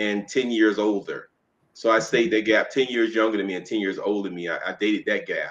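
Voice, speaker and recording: The tone is bright and sharp, with ordinary pitch variation. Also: man. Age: 70s. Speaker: relationship coach. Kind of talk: interview. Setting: studio.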